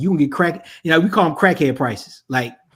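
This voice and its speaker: The recording is very clean, with a silent background. A man with a Virginia accent speaks at a very fast pace. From Virginia (Richmond). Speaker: production and staffing consultant for churches. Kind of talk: casual podcast conversation.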